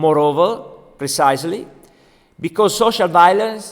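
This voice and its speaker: In an Italian accent, a man speaks with a high pitch. His voice moves in very wide pitch swings. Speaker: doctor. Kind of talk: lecture. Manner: halting.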